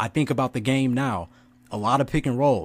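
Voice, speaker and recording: A man talks at a fairly quick pace with lively intonation in a medium-pitched voice. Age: 20s. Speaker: podcast host. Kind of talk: casual chat.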